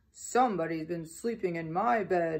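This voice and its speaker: A growling, put-on character voice at middle pitch and a moderate pace. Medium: read story.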